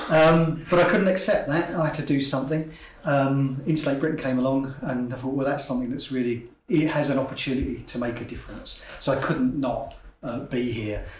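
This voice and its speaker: Noticeable background noise and audible room echo surround a man with a fairly high pitch. He talks at a fairly quick pace with fairly even intonation. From south-east England, Kent. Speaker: climate activist. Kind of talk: interview testimony.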